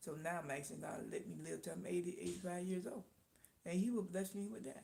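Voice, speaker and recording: A woman talks at a fairly quick pace, with audible room echo in the recording. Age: 60s. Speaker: live-stream host, small business owner. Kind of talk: casual live-stream chat. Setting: live stream.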